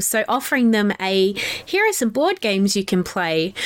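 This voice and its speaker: Speaking with an Australian accent, a woman has a fairly high pitch and a fairly slow pace. Noticeable background noise can be heard. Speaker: podcast host. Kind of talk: casual interview chat. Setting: remote call. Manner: animated.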